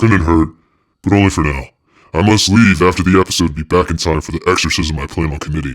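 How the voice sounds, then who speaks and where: A man puts on a character voice with a very deep, low pitch. He talks at a very fast pace. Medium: read story. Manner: sardonic, grudging.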